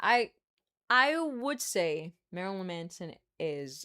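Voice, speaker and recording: With a fairly low pitch, a woman is talking. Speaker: live streamer reading chat.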